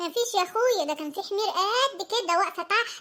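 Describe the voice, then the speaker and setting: In a cartoonish character voice, a woman squeaks at an extremely high pitch, keeping a moderate pace and ordinary pitch variation. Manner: sarcastic.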